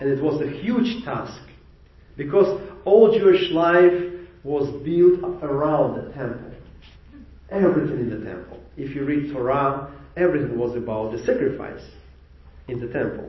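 A man's fairly high voice at a moderate pace, with lively intonation, big swings in loudness, and long, frequent pauses over noticeable background noise. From Ukraine. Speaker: rabbi. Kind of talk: sermon. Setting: congregation worship service.

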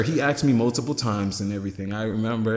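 There is noticeable background noise behind the speech. A man talks at a very fast pace at medium pitch, with ordinary pitch variation. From Jamaica / Caribbean. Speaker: musician. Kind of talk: casual chat.

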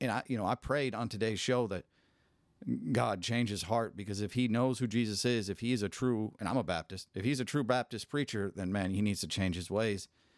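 A man with an ordinary speaking voice talks at a fairly quick pace, with fairly low pitch and ordinary pitch variation. The sound is dry and close with no echo, and the recording is very clean with a silent background. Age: 40s. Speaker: podcast host. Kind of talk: casual chat.

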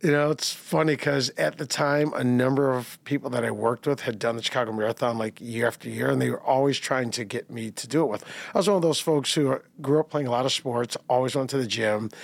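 A man talks in a normal speaking voice at a medium pitch. His pace is fairly quick, with ordinary pitch variation. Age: 50s. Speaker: marathon runner. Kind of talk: casual interview.

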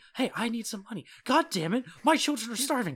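A man whines in a put-on character voice, pitched extremely high with lively intonation and a fairly quick pace. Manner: whiny, mock pleading.

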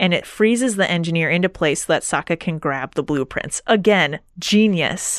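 The speaker does plain reading aloud. Pitch moves up and down in an ordinary way.

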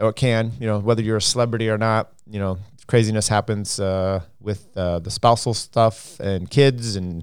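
In a very clean recording with a silent background, a man with a fairly low voice speaks at a moderate pace. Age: 40s. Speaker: cycling podcast host. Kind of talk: casual solo commentary. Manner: halting, many fillers.

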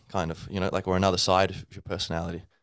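In an Australian accent, a man speaks with a very deep, low voice on a very clean recording with a silent background. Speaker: English teacher and podcast host. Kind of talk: casual solo talk. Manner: halting, many fillers.

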